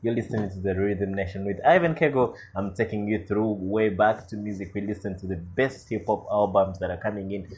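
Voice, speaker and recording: Speaking with a Ugandan accent, a man delivers his words at a fairly quick pace with hardly any pauses, his fairly low, somewhat breathy voice carrying an animated, enthusiastic tone and ordinary pitch variation. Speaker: podcast and radio-style music host. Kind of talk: radio DJ patter between songs, greeting listeners and introducing tracks. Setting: recorded podcast/radio show, music played between talk. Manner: animated, hyped-up and enthusiastic, exclaiming over the next track.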